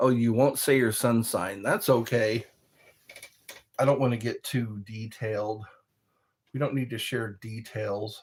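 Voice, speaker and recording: At a fairly slow pace, a man with a medium pitch and a somewhat breathy voice speaks with fairly even intonation and long, frequent pauses. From military family, moved around, born in California. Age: 60s. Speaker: livestream host. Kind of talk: casual livestream chat reading comments. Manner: pauses for breath between phrases; repetitive.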